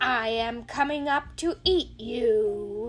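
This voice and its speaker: In a put-on character voice, a female-sounding voice bellows very slowly at a fairly high pitch over clear background noise. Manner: roaring, threatening.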